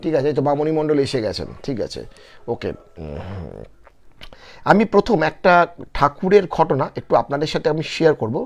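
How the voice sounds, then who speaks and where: A man's fairly high voice with vocal fry and lively intonation, over a quiet background. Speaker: live-stream storyteller. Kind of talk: live stream chat with viewers.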